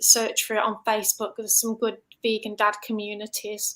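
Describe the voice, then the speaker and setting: Fairly high-pitched woman with a bright, sharp tone, a slight Staffordshire accent and a moderate pace. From England, Staffordshire (Stafford). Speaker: vegan health coach. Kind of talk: casual interview chat. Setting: online livestream.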